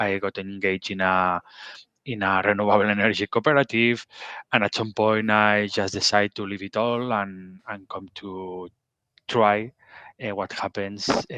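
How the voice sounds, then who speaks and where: The voice has a bright, sharp tone and monotone, flat intonation. It moves at a moderate pace in a dry, close sound with no echo. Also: man, fairly low pitch for a man, quiet background. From Catalonia, Spain (Barcelona). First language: Catalan or Spanish. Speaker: pharmaceutical bioprocess scientist. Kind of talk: interview. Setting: video call. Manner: halting, many fillers.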